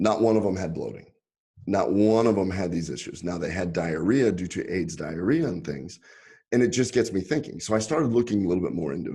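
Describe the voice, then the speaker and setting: Against a quiet background, a man with a Texas accent speaks fairly quickly in a fairly low pitch, his tone dark and mellow and his intonation lively. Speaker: physician, gastroenterologist. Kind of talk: podcast interview.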